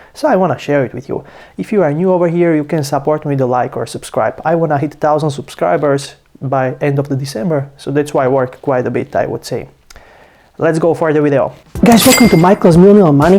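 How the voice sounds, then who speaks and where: A man with a non-native accent talks at a very fast pace, his fairly high pitch paired with a dark, mellow tone. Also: ordinary pitch variation. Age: 20s. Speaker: finance youtuber. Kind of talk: casual vlog talk. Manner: casual, some hesitations.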